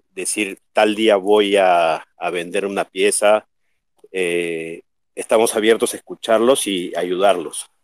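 At a very slow pace and with fairly even intonation, the voice comes through dry and close, with no echo. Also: man. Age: 50s. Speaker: artist. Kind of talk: casual chat.

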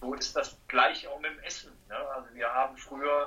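A man speaks at a moderate pace. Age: 30s. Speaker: master dry cleaner and laundry owner. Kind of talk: casual interview.

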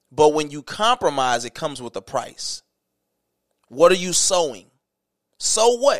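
Animated in tone, the speaker keeps a moderate pace with long, frequent pauses and big swings in loudness. Very wide pitch swings come through a dry, close sound with no echo. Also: man. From US South. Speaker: podcast host. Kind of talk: casual chat. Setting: home, on a couch.

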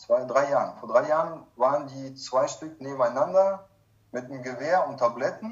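A man with a plain, everyday voice talks at a fairly high pitch for a man and a moderate pace, with big swings in loudness. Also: ordinary pitch variation. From Kazakhstan, moved to Germany in 1995 as a child. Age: 30s. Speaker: recovering alcoholic sharing his life story. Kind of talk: personal testimony in interview.

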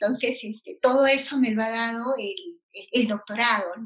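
A woman's fairly high voice at a fairly slow pace, with fairly even intonation. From Peru, Ilo (southern coast). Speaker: university lecturer and systems engineer. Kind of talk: interview. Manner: hesitant, many fillers and repetitions.

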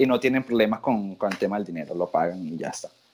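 Lively intonation from a man with a plain, everyday voice, at a fairly quick pace. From Venezuela. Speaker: tattoo artist. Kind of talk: interview.

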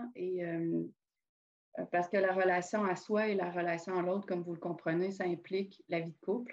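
A woman's medium-pitched voice at a moderate pace, monotone and flat in intonation, with big swings in loudness. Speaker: podcast host. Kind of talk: casual chat.

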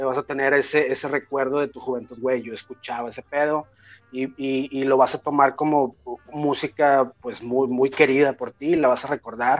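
Over music in the background, a man speaks at a medium pitch and moderate pace in a monotone, flat intonation, his loudness swinging widely, the sound dry and close with no echo. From Mexico. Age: 30s. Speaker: rapper and music producer. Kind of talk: casual interview chat.

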